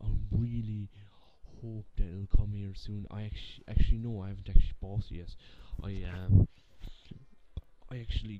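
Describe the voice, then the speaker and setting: Fairly quick pace from a man, with loud background noise. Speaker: gaming channel vlogger. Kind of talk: casual vlog chat. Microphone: webcam.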